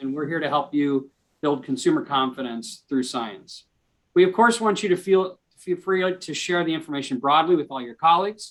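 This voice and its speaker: A man speaks with ordinary pitch variation. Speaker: arts organization executive hosting a webinar. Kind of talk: webinar introduction. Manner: fast; halting, many fillers and restarts.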